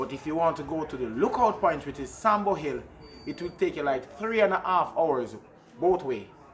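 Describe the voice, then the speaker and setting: With light background noise behind him, a man speaks in a normal speaking voice, fairly high in pitch, at a moderate pace with lively intonation. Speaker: drummer and reggae musician. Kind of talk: interview explaining traditional drums. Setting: outdoors at a community yard. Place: open country.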